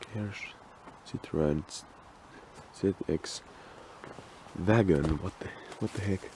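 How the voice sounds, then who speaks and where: Quiet and with a Finnish accent, a man speaks at a very deep, low pitch with ordinary pitch variation and a fairly slow pace, leaving long, frequent pauses, in a dry sound with no echo and light background noise. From Finland. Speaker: urban explorer, video creator. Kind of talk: casual walkthrough commentary. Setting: outdoors, abandoned property. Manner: quiet, hushed; halting, hesitant. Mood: curious, surprised. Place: open country. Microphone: phone near.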